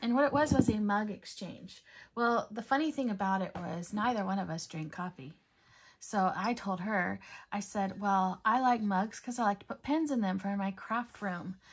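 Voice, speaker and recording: Against a quiet background, a woman talks at a moderate pace in a somewhat breathy voice with ordinary pitch variation. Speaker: coloring hobby creator. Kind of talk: casual haul vlog chat. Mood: cheerful, enthusiastic. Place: home room.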